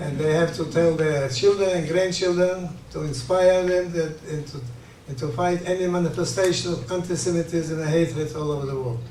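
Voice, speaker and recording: With audible room echo, a man speaks at a moderate pace in a fairly high pitch, his dark, mellow tone keeping fairly even intonation. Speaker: Holocaust survivor. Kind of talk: interview testimony. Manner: halting, repetitive.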